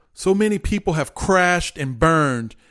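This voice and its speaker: A high-pitched man speaks fairly slowly with lively intonation. The recording is very clean, with a silent background. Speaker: motivational podcast host and coach. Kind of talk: motivational pep talk. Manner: urgent, emphatic, coach-like; direct, commanding, repetitive.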